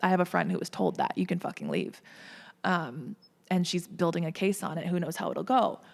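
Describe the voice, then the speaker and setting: With an American accent and vocal fry, a woman speaks at a fairly quick pace and fairly low pitch on a very clean recording with a silent background. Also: ordinary pitch variation. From Minnesota, US. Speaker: entertainment media personality. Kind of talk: casual podcast interview.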